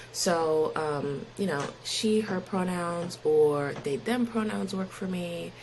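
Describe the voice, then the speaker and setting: A woman with an American accent speaks very slowly in a fairly low voice with lively intonation, against noticeable background noise. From Pennsylvania. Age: 20s. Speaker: podcast guest. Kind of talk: interview. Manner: casual.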